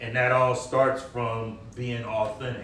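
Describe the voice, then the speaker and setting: Audible room echo and noticeable background noise surround a man speaking at a fairly slow pace. His voice sits at medium pitch. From US Midwest, East Cleveland, Ohio. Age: 50s. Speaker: author. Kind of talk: interview at a book launch. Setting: wine bar event with audience.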